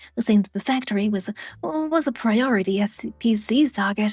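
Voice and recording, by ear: A passage is read aloud in a natural voice.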